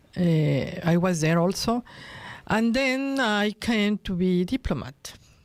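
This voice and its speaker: At a very slow pace, a woman of medium pitch speaks with a Spanish accent and lively intonation. Her loudness stays very even, and the sound is dry and close with no echo. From Mexico, Acapulco. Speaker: diplomat. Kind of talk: radio interview. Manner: halting.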